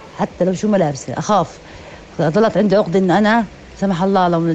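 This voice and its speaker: Over noticeable background noise, a woman speaks with a medium pitch and fairly even intonation. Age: 50s. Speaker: mother sharing experience. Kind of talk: personal testimony. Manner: halting.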